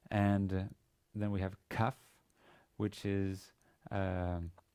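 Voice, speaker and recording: This man has a fairly low voice with a dark, mellow tone. He talks with a Danish accent. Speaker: university teacher. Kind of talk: lecture. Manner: halting, many fillers and repetitions.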